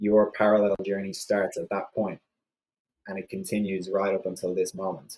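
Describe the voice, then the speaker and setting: In an Irish accent, a man talks at a moderate pace. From Ireland. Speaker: cancer survivor, interview guest. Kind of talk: podcast interview. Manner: hesitant, many fillers.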